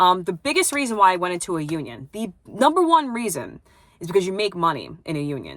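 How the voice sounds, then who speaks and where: A woman in a New York accent, medium-pitched, at a very fast pace, with very wide pitch swings and big swings in loudness. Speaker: plumbing apprentice and vlogger. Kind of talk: casual vlog chat. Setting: at home. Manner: hesitant, lots of fillers.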